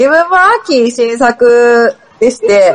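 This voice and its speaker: Lively intonation from a woman with a fairly high pitch, set against noticeable background noise. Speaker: board game designer. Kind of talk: casual chat. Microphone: voice sometimes echoes.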